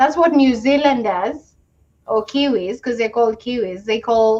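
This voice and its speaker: A woman talks at a fairly slow pace in a fairly high voice. Her tone is dark and mellow, with ordinary pitch variation. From Kenya. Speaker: immigrant sharing experiences. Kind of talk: casual chat.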